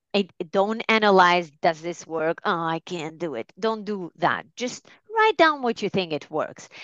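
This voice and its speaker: Recorded with a dry, close sound, no echo and a quiet background, a woman with a medium pitch speaks at a fairly slow pace in a normal speaking voice. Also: lively intonation, hardly any pauses. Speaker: life coach. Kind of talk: casual interview chat.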